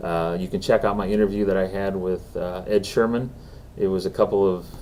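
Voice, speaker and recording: Fairly quick speech from a man, pitched fairly low. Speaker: podcast host. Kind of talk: solo commentary monologue. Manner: fast; halting, many fillers.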